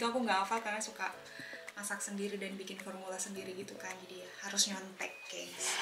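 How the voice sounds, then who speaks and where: A woman's voice with fairly even intonation, plus noticeable background noise and audible room echo. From Makassar, South Sulawesi, Indonesia. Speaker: cooking vlogger. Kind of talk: cooking tutorial.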